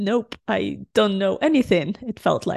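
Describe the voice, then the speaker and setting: A woman with a Ukrainian accent speaks at a moderate pace with lively intonation. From Ukraine. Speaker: UX designer and podcast co-host. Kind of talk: casual chat.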